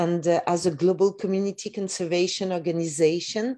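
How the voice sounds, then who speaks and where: A woman with a dark, mellow tone and a fairly low pitch speaks at a moderate pace with fairly even intonation against a quiet background. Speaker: nonprofit director. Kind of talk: brief remarks. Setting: video call. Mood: warm, smiling, grateful. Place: home room. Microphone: video call.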